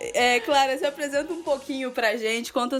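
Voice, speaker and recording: A woman speaks with ordinary pitch variation. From Rio de Janeiro, Brazil. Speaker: podcast host. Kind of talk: casual podcast chat.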